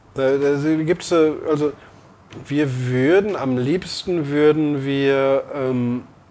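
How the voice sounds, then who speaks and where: A man's fairly high voice with ordinary pitch variation, against noticeable background noise. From Lower Rhine, Germany (Emmerich). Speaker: brewer and restaurant owner. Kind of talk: interview. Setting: in a bar. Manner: hesitant, many fillers.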